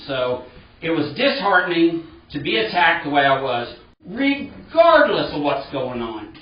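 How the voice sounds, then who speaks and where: Loud and fairly slow, a man speaks in a fairly high voice with very wide pitch swings, amid audible room echo and noticeable background noise. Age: old. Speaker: resident at town meeting. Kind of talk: heated debate.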